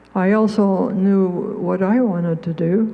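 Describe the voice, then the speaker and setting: A woman's voice, medium in pitch, stays monotone and flat while noticeable noise sounds behind her. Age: 80s+. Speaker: songwriter. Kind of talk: speech to an audience. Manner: halting.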